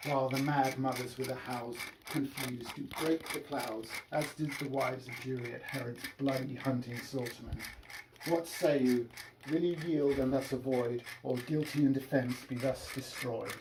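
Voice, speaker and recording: A man with a British accent and monotone, flat intonation, over noticeable background noise. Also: medium pitch for a man, moderate pace. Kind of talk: Shakespeare reading.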